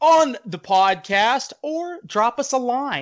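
The voice is raised and projected, with a bright, sharp tone and an animated delivery. Its intonation is lively, and the background is quiet. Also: man. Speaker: podcast host. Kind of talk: casual chat.

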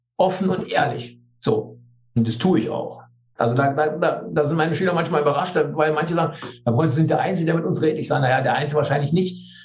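A fairly high-pitched male voice at a very fast pace, with audible room echo. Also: ordinary pitch variation. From East Germany. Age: 60s. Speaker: teacher and trade unionist. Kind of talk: interview.

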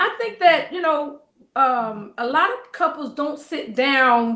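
With an American accent and a raised, projected voice, a woman speaks at a fairly slow pace. Her tone is bright and sharp, her pitch high with ordinary variation. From US South. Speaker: marriage coach. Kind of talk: casual interview. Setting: studio.

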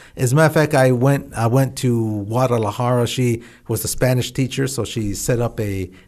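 An ordinary speaking voice from a man with an American accent, at a moderate pace. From central California. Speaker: former astronaut. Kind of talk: interview.

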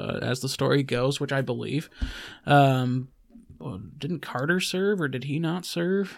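A man has a plain, everyday voice with an American accent and a fairly high pitch. He speaks at a fairly slow pace with ordinary pitch variation. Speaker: podcast co-host. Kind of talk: casual chat. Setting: studio.

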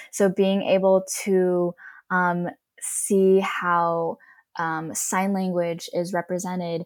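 A woman's monotone, flat delivery in an Ohio accent. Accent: general American, Ohio. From Cleveland, Ohio. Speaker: actor and ASL interpreter. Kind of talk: casual interview.

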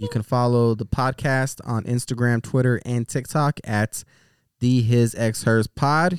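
In a plain, everyday voice, a man talks at a fairly slow pace with medium pitch and fairly even intonation, the sound dry and close with no echo. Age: 30s. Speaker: podcast co-host. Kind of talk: casual chat.

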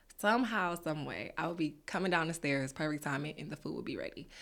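Very deep and low for a woman, her voice has a bright, sharp tone and an American accent on a very clean recording with a silent background. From Detroit, Michigan. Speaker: pastry chef and business owner. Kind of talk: interview.

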